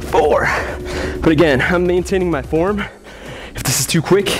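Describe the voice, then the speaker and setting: Clear music sounds behind the speaker. He is a man talking at a moderate pace. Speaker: fitness trainer. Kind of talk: workout instruction with counting. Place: gym.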